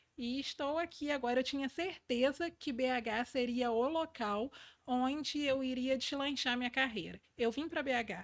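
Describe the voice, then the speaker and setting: A woman speaks at a fairly slow pace with a high pitch. The recording is very clean, with a silent background. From Brazil, interior of Rio de Janeiro state. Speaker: leadership mentor. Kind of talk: podcast interview. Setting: studio.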